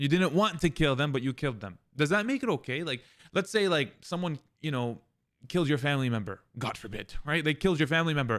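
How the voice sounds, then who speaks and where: Very clean with a silent background, the recording has a man speaking at a very fast pace in a fairly high pitch, his tone animated and his intonation lively. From Palestine. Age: 20s. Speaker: streamer. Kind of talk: heated debate. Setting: live stream.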